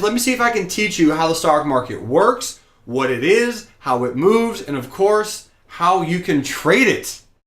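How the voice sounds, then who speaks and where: A man with an American accent and a high pitch, at a moderate pace, with very wide pitch swings. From US South (rural Georgia). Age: 20s. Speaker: stock trading teacher. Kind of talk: live-streamed class. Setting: live broadcast at home desk. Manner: energetic, enthusiastic.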